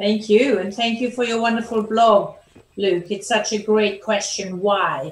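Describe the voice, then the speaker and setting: With a German accent, a woman of fairly high pitch speaks at a fairly slow pace and fairly even intonation, with audible room echo around her. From Germany. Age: 60s. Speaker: performance coach. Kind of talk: interview.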